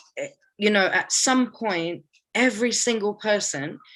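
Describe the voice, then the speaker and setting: A woman with a British accent, ordinary pitch variation, quiet background. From UK, Palestinian family. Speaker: artist and organizer. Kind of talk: interview. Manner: casual, animated.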